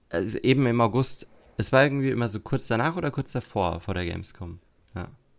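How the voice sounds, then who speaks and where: Spoken at a fairly quick pace with lively intonation, this is a plain, everyday voice. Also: man, medium pitch for a man. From Germany, Lower Franconia (Würzburg area). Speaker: podcast host. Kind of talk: casual chat.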